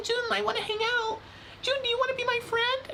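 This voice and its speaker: In a put-on character voice at an extremely high pitch, the speaker rattles along at a fairly quick pace over clear background noise. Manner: cute, pleading.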